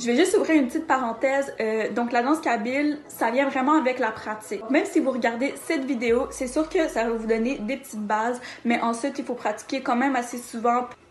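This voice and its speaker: Over noticeable background noise, a woman talks at a moderate pace. Her pitch is high, with ordinary variation. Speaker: dancer teaching dance. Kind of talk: tutorial.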